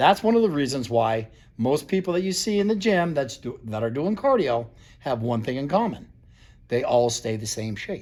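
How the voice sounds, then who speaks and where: With an American accent, a man speaks at a moderate pace, his fairly high pitch making very wide swings. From US Northeast (Vermont). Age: 60s. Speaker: fitness trainer. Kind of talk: informal talk-to-camera lecture. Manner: casual, halting with fillers.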